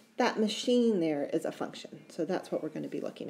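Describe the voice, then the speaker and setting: Someone with an American accent talks at a fairly quick pace in a dark, mellow tone. Vocal fry runs through the voice. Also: woman. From United States. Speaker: math teacher. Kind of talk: lecture. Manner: casual, with self-corrections and false starts.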